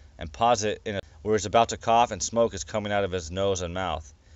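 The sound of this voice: Unforced reading, its intonation fairly even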